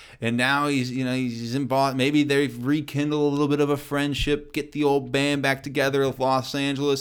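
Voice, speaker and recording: This man speaks in a Midwestern American accent at a fairly high pitch. His delivery is fairly quick, with monotone, flat intonation. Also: very clean recording, silent background. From US Midwest, Kansas City. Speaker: sports podcast host. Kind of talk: solo sports commentary podcast. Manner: casual, conversational.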